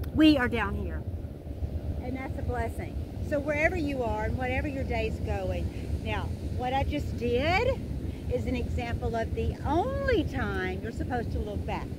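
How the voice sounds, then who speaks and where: A woman talks at a moderate pace, the sound dry with no echo and loud background noise all around. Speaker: yoga instructor. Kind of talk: casual vlog chat and yoga class instruction. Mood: upbeat, grateful. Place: beach.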